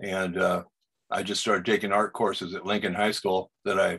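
In an American accent, a man talks at a fairly quick pace against a quiet background. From US Pacific Northwest, Seattle. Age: 70s. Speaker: portrait artist and Vietnam veteran; guest. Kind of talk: casual interview. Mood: calm, reflective. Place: home room. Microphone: video call.

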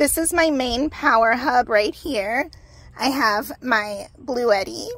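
At a very slow pace, a woman with a high pitch uses ordinary pitch variation, and the sound is dry with no echo. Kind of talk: casual tour tutorial. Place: car. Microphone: phone near.

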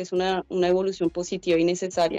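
Against a quiet background with dry sound and no echo, a woman talks very fast in a dark, mellow tone at a fairly low pitch. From Colombia. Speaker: head of a migrant support organization. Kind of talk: radio interview. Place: home room. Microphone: video call.

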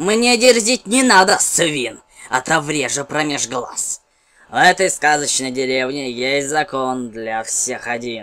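This is a put-on character voice with a low-to-middle pitch. It moves at a fairly slow pace. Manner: menacing, mocking.

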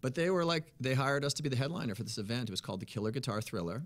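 Against a quiet background, a man talks very fast with an American accent. His pitch varies an ordinary amount. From Massachusetts (Worcester); Massachusetts. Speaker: blues musician; guest. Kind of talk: interview. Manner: energetic. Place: studio. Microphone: studio mic.

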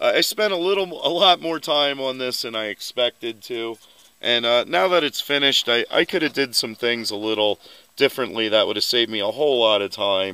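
The voice is bright and sharp, with lively intonation at a fairly quick pace. The sound is dry, with no echo. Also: man. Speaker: vehicle hobbyist vlogger. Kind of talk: casual vlog chat. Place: open country. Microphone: phone near.

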